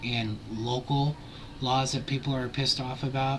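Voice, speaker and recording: Over music in the background, a man talks at a fairly slow pace in a monotone, flat intonation. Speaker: YouTube vlogger. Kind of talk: casual vlog commentary.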